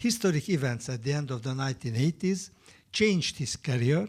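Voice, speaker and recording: A man with a Hungarian accent talks at a fairly quick pace with lively intonation, his fairly high, somewhat breathy voice having a dark, mellow tone. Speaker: historian. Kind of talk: panel talk. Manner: halting; formal.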